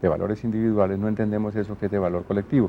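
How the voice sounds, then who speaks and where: A man speaks with a Colombian accent. His pitch is fairly low. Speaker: radio announcer and TV presenter. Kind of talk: interview answer.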